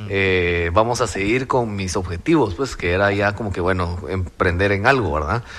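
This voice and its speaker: A fairly low-pitched male voice over noticeable background noise. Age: 30s. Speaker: crypto entrepreneur. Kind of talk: interview.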